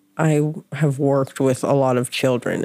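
A woman's very deep, low pitch with a dark, mellow tone. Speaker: podcast host. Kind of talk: casual chat.

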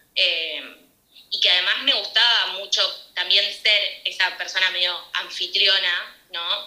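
In a room with audible echo, a woman with a Rioplatense accent talks at a fairly slow pace, her pitch sitting in the middle of the female range. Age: 20s. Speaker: pastry chef. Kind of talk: interview.

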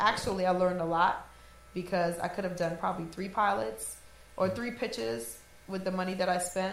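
A woman talks at a fairly quick pace against noticeable background noise. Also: medium pitch for a woman, lively intonation. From New Orleans, born in Trinidad and Tobago. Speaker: DJ and actress. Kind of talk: casual chat.

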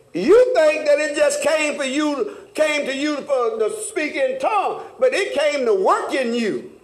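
Extremely high-pitched, a man speaks in an animated tone with very wide pitch swings, at a fairly slow pace with hardly any pauses. Noticeable background noise runs underneath. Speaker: Bible study preacher. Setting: church. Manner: animated, rhythmic, repeats phrases and urges the congregation with 'come on now'; earnest, folksy and teasing, with humorous asides.

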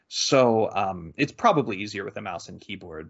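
A man speaks at a fairly quick pace in a normal speaking voice. His pitch sits fairly low. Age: 30s. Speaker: video game podcast host. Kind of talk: casual chat.

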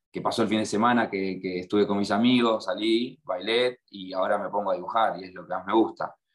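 In an Argentine accent, a man talks at a fairly quick pace with a fairly low pitch and fairly even intonation. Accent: Rioplatense Argentine Spanish. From Argentina, La Plata. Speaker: muralist and graphic artist. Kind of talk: interview.

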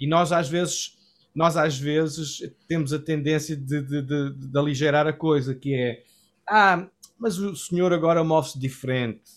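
Recorded very cleanly against a silent background, a man with a fairly high pitch speaks at a fairly slow pace with fairly even intonation. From Portugal, Cascais area. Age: 40s. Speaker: worship pastor. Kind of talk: interview testimony. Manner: halting, many repetitions.

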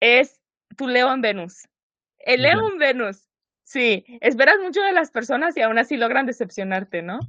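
With a Mexican accent, a woman speaks fairly slowly in a high pitch that swings very widely. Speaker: podcast co-host. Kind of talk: casual chat. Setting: studio.

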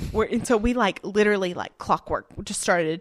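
A woman speaks with a Southern US accent and fairly even intonation. The recording is very clean with a silent background, and the sound is dry and close with no echo. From northeastern Alabama (Sand Mountain). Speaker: film crew worker. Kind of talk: casual chat.

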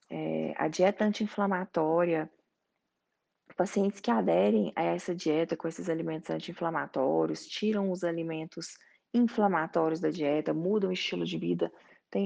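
At a moderate pace, a woman talks against a quiet background. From Goiás, Brazil. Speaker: doctor, colorectal surgeon. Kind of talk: explanatory talk.

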